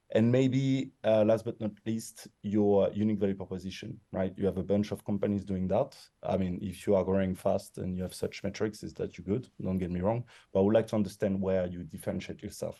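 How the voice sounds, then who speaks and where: Speaking in a strong French accent, a man with a fairly low pitch and a dark, mellow tone talks at a fairly quick pace with hardly any pauses. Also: fairly even intonation. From France. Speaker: investor jury member giving pitch feedback. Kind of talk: pitch feedback on a panel.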